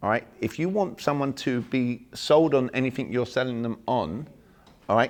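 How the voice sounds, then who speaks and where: In an English accent, a man speaks at a medium pitch. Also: ordinary pitch variation, moderate pace. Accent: English accent, kept on purpose. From England. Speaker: sales and communication trainer. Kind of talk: seminar talk. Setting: small room seminar with audience. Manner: animated.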